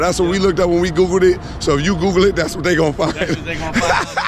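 A man speaks at a high pitch, with noticeable noise in the background. The sound is dry, with no echo. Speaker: car reviewer. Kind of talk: casual car review chat. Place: street. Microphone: phone near.

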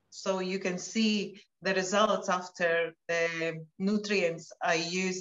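Very slowly, a woman talks in a monotone, flat intonation. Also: medium pitch for a woman. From Latvia. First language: Latvian. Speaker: wellness product promoter; interviewee. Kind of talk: casual chat. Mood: warm, personal, slightly emotional.

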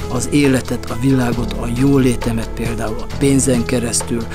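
A man speaks with clear music playing in the background. The sound is dry with no echo. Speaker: coach or speaker. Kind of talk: casual vlog chat. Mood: calm, reflective. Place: open country. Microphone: lapel.

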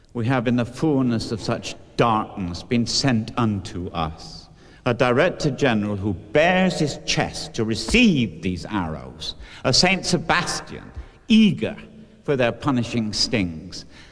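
A man speaks at a fairly slow pace with vocal fry and very wide pitch swings. The background is quiet. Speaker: keynote speaker. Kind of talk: formal lecture speech. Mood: scathing, ironic. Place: hall. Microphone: podium.

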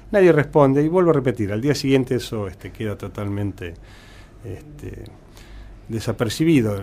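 A man's dark, mellow voice at a moderate pace, with big swings in loudness and long, frequent pauses. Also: medium pitch for a man, lively intonation. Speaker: hospital director and surgeon. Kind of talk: interview.

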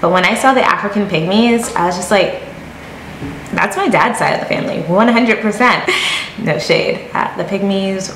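A woman at medium pitch and moderate pace, with audible room echo and light background noise. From Connecticut, US (born in Jamaica). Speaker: YouTuber. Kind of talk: casual vlog talk to camera. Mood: playful, amused. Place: home room. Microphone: phone near.

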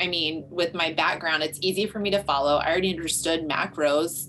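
There's noticeable background noise. Over it, a woman speaks at a moderate pace. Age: 40s. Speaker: gym owner and trainer; trainer. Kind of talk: casual interview. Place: office. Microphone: video call.

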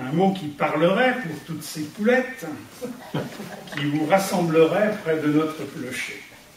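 A man speaks very slowly in a high voice, with audible room echo and light background noise. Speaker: amateur poet. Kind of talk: poetry reading. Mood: warm, humorous. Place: hall. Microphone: camera far.

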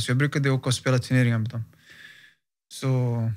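A man's fairly quick delivery carries fairly even intonation against a quiet background. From Stockholm, Sweden. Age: 30s. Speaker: professional footballer; interview guest. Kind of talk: interview. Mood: calm, reflective. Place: studio. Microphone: studio mic.

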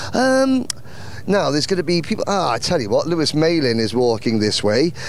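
A man's fairly high pitch and big pitch swings against clear background noise. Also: moderate pace.

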